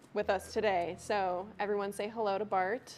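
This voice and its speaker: Against a quiet background, a woman talks at a medium pitch with monotone, flat intonation. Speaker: trivia co-host, dining staff. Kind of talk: live trivia game hosting. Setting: studio. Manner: loud.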